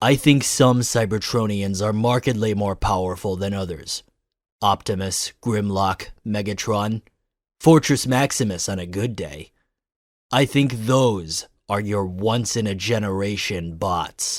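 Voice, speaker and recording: A put-on character voice at a fairly slow pace. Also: man, fairly low pitch for a man. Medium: audio drama. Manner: clipped, cold.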